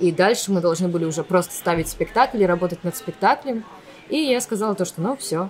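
Here is a plain, everyday voice with lively intonation, delivered at a fairly quick pace. Light background noise can be heard. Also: woman, medium pitch for a woman. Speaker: actress and blogger. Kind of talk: casual interview. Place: cafe. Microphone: studio mic.

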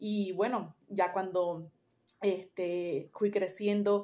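The woman's tone is dark and mellow at a medium pitch. She speaks in a flat monotone. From Bolivia, Santa Cruz; Bolivia. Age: 40s. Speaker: holistic therapist. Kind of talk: personal storytelling monologue; casual vlog chat, personal reflection. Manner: halting, many fillers. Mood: calm, reflective, spiritual. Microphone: phone near.

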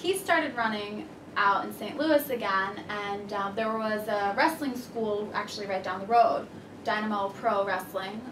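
A woman talks at a fairly slow pace with a fairly high pitch and ordinary pitch variation. Noticeable background noise runs under her voice. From central Florida. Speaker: professional wrestler; interviewee. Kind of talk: interview. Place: office. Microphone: camera far.

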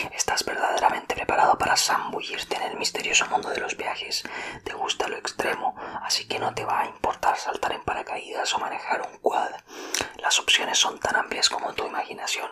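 The speaker whispers at a fairly quick pace. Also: man. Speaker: ASMR creator. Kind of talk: ASMR personality test talk to viewer. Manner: whispered. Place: home room. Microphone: studio mic.

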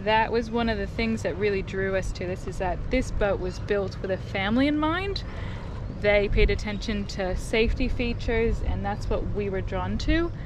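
A woman at a moderate pace, dry sound with no echo and noticeable background noise. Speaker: vlogger. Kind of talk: casual vlog chat, boat tour. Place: boat. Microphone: phone near.

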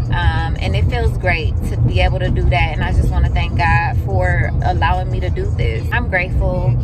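A woman talks at a moderate pace with ordinary pitch variation in a dry sound with no echo. Loud music plays in the background. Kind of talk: casual vlog chat. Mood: grateful, reflective. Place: car. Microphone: phone near.

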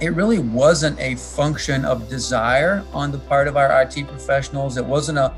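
A man at a moderate pace with hardly any pauses, faint music in the background. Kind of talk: interview answer. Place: office. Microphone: video call.

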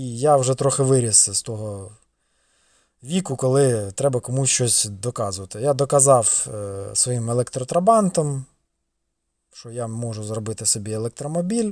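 On a very clean recording with a silent background, a man talks at medium pitch and a moderate pace. His loudness swings widely, while his pitch varies in an ordinary way. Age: 30s. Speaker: car vlogger. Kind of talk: casual vlog. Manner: casual.

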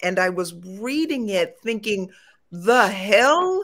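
Speaking very slowly, a woman uses a medium pitch. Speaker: chiropractor. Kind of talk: live panel discussion. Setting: video call.

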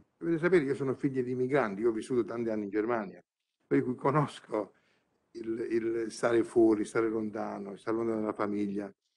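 A man's pitch moves in an ordinary way as he talks at a fairly quick pace. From southern Italy, Bari province (Puglia); Puglia, Italy. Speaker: honorary ambassador; conference guest. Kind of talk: conference speech. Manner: impassioned. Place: hall. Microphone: podium.

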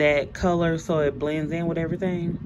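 Against noticeable background noise, a woman talks at a moderate pace in a fairly low voice. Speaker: mom vlogger working from home. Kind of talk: casual vlog chat. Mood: cheerful, chatty. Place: home room.

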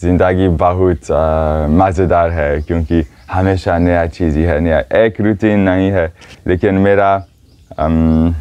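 With long, frequent pauses, a man speaks at a very slow pace, his very deep, low pitch carrying a dark, mellow tone, fairly even intonation and very even loudness. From Switzerland. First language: not Hindi; learned Hindi four years ago (speaking Hindi). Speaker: foot pilgrim and yoga teacher. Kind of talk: interview; interview answer. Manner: halting, many hesitations. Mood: cheerful, relaxed. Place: tent. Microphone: lapel.

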